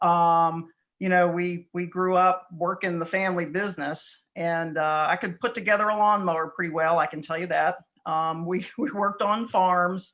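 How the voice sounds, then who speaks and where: A woman with a Southern US accent talks at a moderate pace in a fairly low pitch with fairly even intonation over a quiet background. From southeastern North Carolina. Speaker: real estate broker. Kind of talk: interview.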